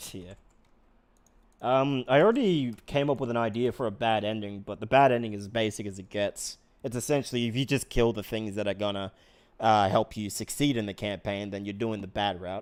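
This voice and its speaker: A man's mumbling at a fairly quick pace, fairly low in pitch with ordinary pitch variation, in a very clean recording with a silent background. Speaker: streamer and game master. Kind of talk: casual chat.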